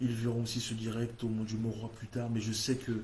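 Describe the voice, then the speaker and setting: A man speaks at a fairly slow pace in a medium pitch. His voice is somewhat breathy, with monotone, flat intonation. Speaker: prayer meeting leader. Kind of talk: spoken prayer. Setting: online livestream. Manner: fervent, repetitive invocations.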